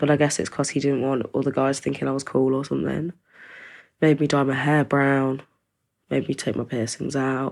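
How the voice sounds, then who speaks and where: In a very clean recording with a silent background, a woman with an East Midlands accent speaks at a moderate pace. Her very deep, low voice has monotone, flat intonation. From East Midlands, England. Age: 20s. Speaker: domestic abuse survivor. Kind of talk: testimony. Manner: sighing.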